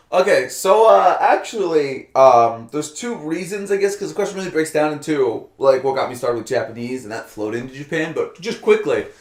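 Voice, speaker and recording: Over noticeable background noise, a man with an American accent talks at a fairly quick pace with hardly any pauses, his fairly high pitch swinging very widely and his loudness shifting in big swings. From Albany, New York. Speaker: former English teacher and programmer. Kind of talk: casual interview. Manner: many fillers (uh, um, like).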